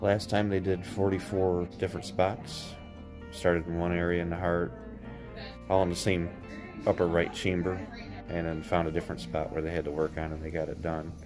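With clear music behind him, a man speaks in a very deep, low pitch, leaving long, frequent pauses and using ordinary pitch variation. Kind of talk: casual vlog chat. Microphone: phone near.

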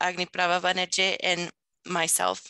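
Over a quiet background, a woman with a bright, sharp tone speaks at medium pitch and a fairly slow pace, the sound dry and close with no echo. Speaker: webinar presenter. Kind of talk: webinar presentation.

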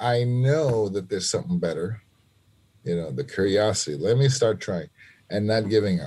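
A man with an American accent speaks at a moderate pace in a fairly low, somewhat breathy voice. His tone is dark and mellow, and his intonation is lively. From New York City (Lower East Side, Manhattan); New York City. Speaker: trumpet player; podcast guest. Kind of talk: interview conversation. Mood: reflective, earnest. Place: home room. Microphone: video call.

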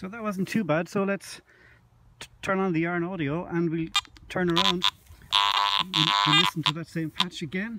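Over loud background noise, a man speaks at a moderate pace in a high, bright, sharp voice, with long, frequent pauses and a dry sound with no echo. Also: lively intonation. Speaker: metal detecting video maker. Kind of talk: outdoor demonstration tutorial. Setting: outdoors. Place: open country. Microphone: camera far.

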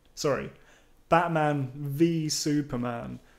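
A man speaks with a British accent. His intonation stays fairly even. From United Kingdom. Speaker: YouTube channel creator. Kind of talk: casual vlog monologue. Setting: home recording with microphone.

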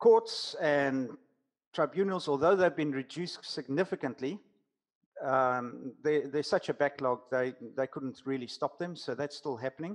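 Against a quiet background, a man with a fairly high pitch and ordinary pitch variation talks at a moderate pace, with long, frequent pauses. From South Africa. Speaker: business coach. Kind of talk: casual interview. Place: home room. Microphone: headset.

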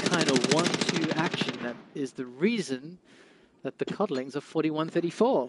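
A man with a fairly high pitch speaks in an animated tone and lively intonation. Noticeable background noise sits behind him. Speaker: esports commentator. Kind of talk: live esports commentary. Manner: animated play-by-play, quick; explains gameplay to viewers, conversational.

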